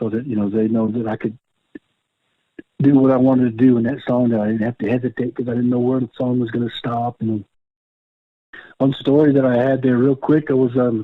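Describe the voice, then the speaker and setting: With an American accent, a man with a medium pitch speaks at a fairly quick pace in a monotone, flat intonation, leaving long, frequent pauses. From Oklahoma. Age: 60s. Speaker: powwow fancy dancer. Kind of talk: casual interview. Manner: frequent fillers, repetitions.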